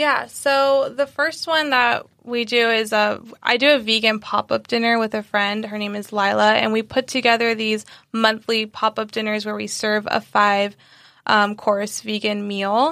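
A woman with an American accent speaks in a bright, sharp, fairly high voice with fairly even intonation. Her fairly slow delivery comes through a very clean recording with a silent background. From San Diego, California. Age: 20s. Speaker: vegan recipe creator. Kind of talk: casual interview.

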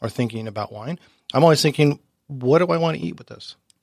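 On a very clean recording with a silent background, a man with a plain, everyday voice at medium pitch speaks at a fairly quick pace with ordinary pitch variation. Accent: American. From Southern California (Orange County). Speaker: wine sales representative. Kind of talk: casual chat. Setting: studio.

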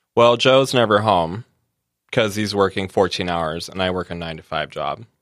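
A plain, everyday voice from a man, fairly low in pitch, with ordinary pitch variation at a moderate pace. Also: very clean recording, silent background. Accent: American. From California. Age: 30s. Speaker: pastry chef. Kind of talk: casual chat.

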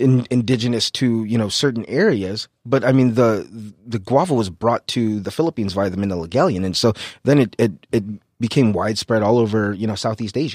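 Recorded very cleanly against a silent background, with a dry, close sound and no echo, a man speaks fairly quickly in an unremarkable speaking voice at medium pitch. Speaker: chef. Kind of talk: casual interview chat.

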